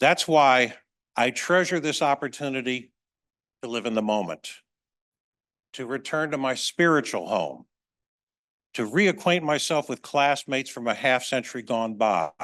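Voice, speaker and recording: At a medium pitch, a man with an American accent speaks at a moderate pace with lively intonation and vocal fry. He leaves long, frequent pauses against a quiet background. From US, Maryland Eastern Shore. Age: 70s. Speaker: author. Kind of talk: reading aloud; talk. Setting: museum event with audience.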